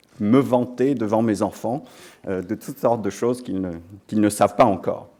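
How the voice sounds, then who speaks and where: Speaking with an English accent, a man uses a dark, mellow tone at a fairly low pitch, keeping a moderate pace and ordinary pitch variation. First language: English (speaking French). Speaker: business school dean and professor. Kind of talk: ceremony speech. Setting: lecture hall with audience. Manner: hesitant, many fillers.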